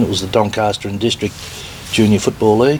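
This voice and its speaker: Over noticeable background noise, a man with an Australian accent talks at a fairly low pitch. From Victoria, Australia (Melbourne). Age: 60s. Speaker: retired footballer and business owner. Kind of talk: interview.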